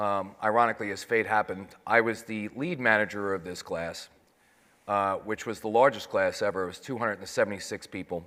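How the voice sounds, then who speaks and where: With a New York accent, a man speaks at a fairly quick pace in a fairly low pitch with a bright, sharp tone. His loudness swings widely, and the recording is very clean with a silent background. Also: ordinary pitch variation. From New York City. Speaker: 9/11 survivor, financial services manager. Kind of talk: panel testimony.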